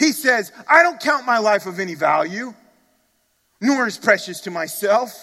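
A man speaks in a raised, projected voice with a bright, sharp tone and very wide pitch swings, at a fairly slow pace. The recording is very clean, with a silent background. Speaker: pastor. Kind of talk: sermon. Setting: church. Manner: earnest, emphatic preaching, pressing listeners directly.

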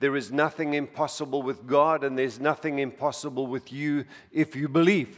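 With a normal speaking voice, a man talks at a moderate pace in a fairly high pitch. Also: fairly even intonation. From outside the US, moved to America in his 40s. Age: 60s. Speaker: preacher. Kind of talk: sermon. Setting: church with congregation.

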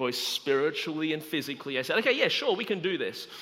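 Speaking at a fairly quick pace, a man has an Australian accent. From Australia, Melbourne. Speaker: guest preacher. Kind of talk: sermon. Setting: church service, livestreamed.

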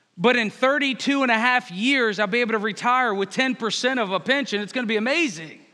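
A man's extremely high, bright, sharp voice, raised and projected, in an American accent at a very fast pace with ordinary pitch variation. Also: hardly any pauses. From Northern Virginia. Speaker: pastor. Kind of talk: sermon.

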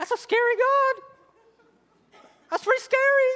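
A squeaky, put-on character voice at an extremely high pitch moves at a moderate pace.

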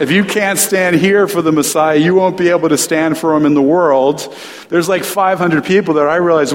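Noticeable background noise and audible room echo surround a man whose fairly high voice keeps fairly even intonation at a moderate pace. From US Northeast, New Jersey. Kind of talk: sermon.

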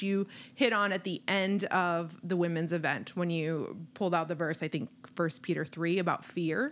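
This woman has a plain, everyday voice at a medium pitch, with ordinary pitch variation and a moderate pace. The recording is very clean, with a silent background. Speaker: part-time teacher and panelist. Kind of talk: casual chat.

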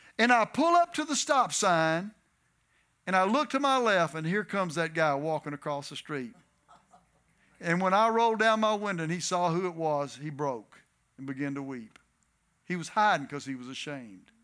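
Over music in the background, a man with a Texan accent talks at a moderate pace and a high pitch, with lively intonation and long, frequent pauses. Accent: Texan Southern US. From Texas. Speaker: guest preacher. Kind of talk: sermon. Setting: church.

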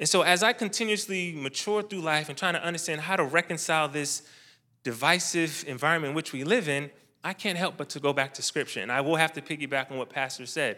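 A man talks very fast in a fairly high, bright, sharp voice with ordinary pitch variation. The recording is very clean, with a silent background. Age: 30s. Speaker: air force officer and church member. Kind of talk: church talk. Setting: church event with live audience.

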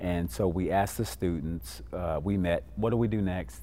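A man with an American accent, a very deep, low pitch, vocal fry and a dark, mellow tone, lively intonation at a moderate pace, in audible room echo. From Illinois, Kankakee County. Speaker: pastor and youth violence prevention coordinator. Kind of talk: interview.

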